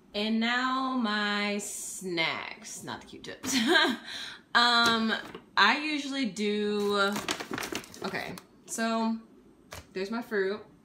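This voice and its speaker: A woman talks at a very slow pace in a bright, sharp tone over noticeable background noise. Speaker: fitness vlogger. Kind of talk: casual vlog chat. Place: kitchen. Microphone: phone near.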